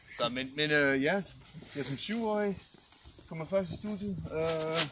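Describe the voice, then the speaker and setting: The delivery is very slow, with lively intonation. Noticeable background noise is present. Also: man. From USA and Denmark. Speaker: rapper. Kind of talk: casual chat.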